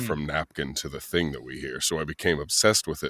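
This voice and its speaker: In an American accent, a man with a very deep, low voice shows vocal fry and ordinary pitch variation. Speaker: voice-over artist. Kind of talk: interview answer. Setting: podcast interview. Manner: storytelling, reflective.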